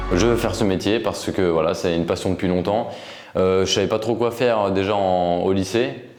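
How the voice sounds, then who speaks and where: A man speaks at a fairly quick pace with a fairly low pitch, fairly even intonation and very even loudness. Audible room echo surrounds the voice. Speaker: radio intern. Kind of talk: interview. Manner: hesitant, many fillers.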